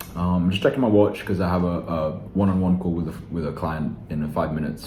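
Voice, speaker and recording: Amid audible room echo and noticeable background noise, a man talks at a fairly quick pace in a very deep, low pitch. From Philippines-born, raised elsewhere. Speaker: online sales coach. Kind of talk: casual vlog talk to camera. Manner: casual, with many fillers and restarts.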